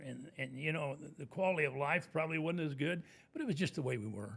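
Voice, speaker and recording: This man's fairly high-pitched voice has a bright, sharp tone and vocal fry. He talks at a very fast pace with ordinary pitch variation. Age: 80s+. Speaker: commercial real estate broker. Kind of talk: podcast interview.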